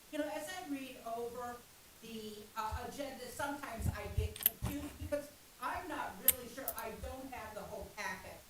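Loud and high-pitched, a woman speaks at a moderate pace with ordinary pitch variation, amid audible room echo and noticeable background noise. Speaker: public commenter at city council. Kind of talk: public comment. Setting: city council meeting, away from podium. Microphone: far from the microphone.

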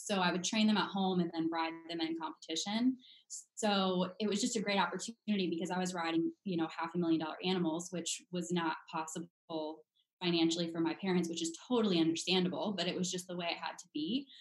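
Against a quiet background with audible room echo, a woman talks at a very fast pace, her pitch fairly low and her intonation fairly even. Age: 20s. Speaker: brand manager and equestrian; podcast guest. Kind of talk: casual chat. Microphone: video call.

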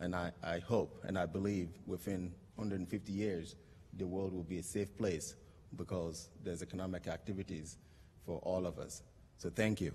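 Very deep, low-pitched male voice, dark and mellow in tone, at a moderate pace with monotone, flat intonation. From Togo, border town. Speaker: social entrepreneur, company founder. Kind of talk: award acceptance speech; speech. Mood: earnest, hopeful. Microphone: podium.

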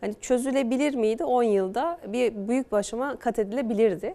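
The speech goes at a moderate pace with ordinary pitch variation. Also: woman. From Eskişehir, Turkey; Turkey. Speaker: politician, newly elected mayor. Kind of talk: TV news interview. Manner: calm. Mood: pleased, confident. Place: studio. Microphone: lapel.

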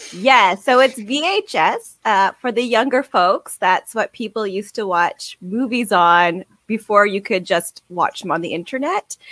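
A woman with a fairly high pitch uses a normal speaking voice, with lively intonation and a fairly slow pace, in a dry, close sound with no echo. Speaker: podcast co-host. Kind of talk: casual chat.

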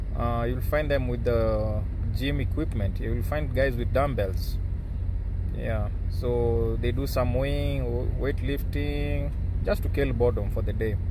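Background noise is noticeable as a man speaks at a very slow pace. His loudness stays very even throughout. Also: dry sound with no echo. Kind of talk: casual vlog chat. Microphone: phone near.

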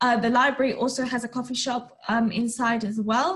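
A woman with a London accent, high pitch and a moderate pace. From Northwest London. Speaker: university student. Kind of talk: presentation.

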